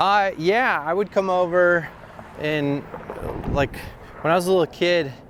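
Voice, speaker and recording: A man with a high pitch speaks at a fairly slow pace, leaving long, frequent pauses. His pitch varies in an ordinary way, and background noise is noticeable. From Wisconsin, US. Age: 40s. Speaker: comedian. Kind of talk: casual chat. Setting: outdoors, walking downtown.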